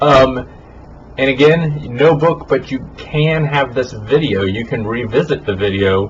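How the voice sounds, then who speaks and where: The voice moves at a fairly slow pace with lively intonation, amid audible room echo and noticeable background noise. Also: man. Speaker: college teacher. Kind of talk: recorded lecture. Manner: casual, informal. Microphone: poor audio quality in this recording.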